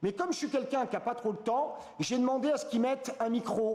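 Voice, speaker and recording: Through noticeable background noise, a man speaks in an animated tone at an extremely high pitch. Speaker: trading educator promoting a trading app. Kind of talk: live product demo.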